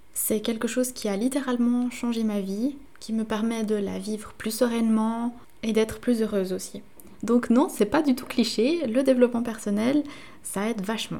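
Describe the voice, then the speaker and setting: A woman with a fairly high pitch speaks at a moderate pace with fairly even intonation, in an ordinary speaking voice. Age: 20s. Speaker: podcast host. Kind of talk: solo podcast monologue.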